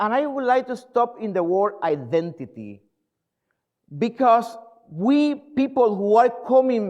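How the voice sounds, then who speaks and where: With a Spanish accent, a man speaks at an extremely high pitch and a fairly slow pace, with ordinary pitch variation. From Puerto Rico. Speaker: pastor. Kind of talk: sermon. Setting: church. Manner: halting.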